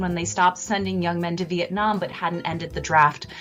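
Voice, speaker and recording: Over music in the background, a woman with a General American accent talks at a fairly quick pace with fairly even intonation. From California. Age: 30s. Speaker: professor. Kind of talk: radio interview. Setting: radio broadcast.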